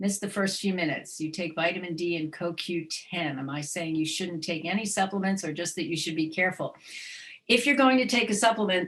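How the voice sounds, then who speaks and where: A woman with an unremarkable speaking voice, fairly quick in pace, with ordinary pitch variation. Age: 60s. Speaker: dietitian. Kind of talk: webinar presentation with Q&A.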